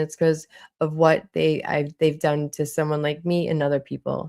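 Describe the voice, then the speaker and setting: Over a silent background in a very clean recording, a woman with a Boston accent talks at a fairly quick pace in a very deep, low, dark, mellow voice. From Boston, Massachusetts. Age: 40s. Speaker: streamer. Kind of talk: live stream chat. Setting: livestream. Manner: animated.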